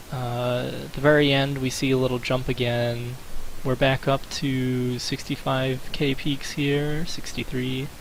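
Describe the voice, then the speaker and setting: A man speaks at a fairly slow pace in a monotone, flat delivery. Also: medium pitch for a man. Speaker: gaming video creator. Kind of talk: commentary video. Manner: hesitant with fillers.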